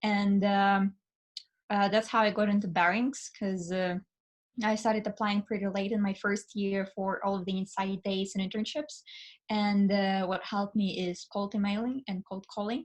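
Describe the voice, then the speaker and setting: Over a quiet background, a woman with a Russian accent speaks at a moderate pace in a somewhat breathy, medium-pitched voice with flat, monotone intonation. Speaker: finance student and summer analyst. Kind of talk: casual interview. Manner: hesitant, many fillers.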